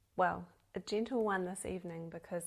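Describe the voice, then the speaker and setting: Her intonation stays flat and monotone. The woman's pitch sits fairly low. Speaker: spiritual podcast host. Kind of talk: casual solo podcast talk.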